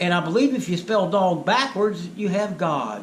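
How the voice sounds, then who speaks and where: At a moderate pace, a man with a high pitch talks amid audible room echo. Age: 60s. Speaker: spiritual video blogger. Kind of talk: monologue storytelling.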